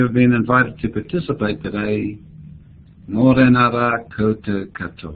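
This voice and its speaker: In a New Zealand accent, a man speaks at a medium pitch and a moderate pace. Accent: New Zealand (Kiwi). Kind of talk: keynote speech. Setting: remote video link.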